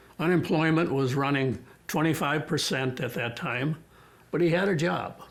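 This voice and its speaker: With audible room echo, a man speaks in an American accent at a fairly high pitch. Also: ordinary pitch variation, moderate pace. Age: 90s. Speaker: war veteran. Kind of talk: oral history interview.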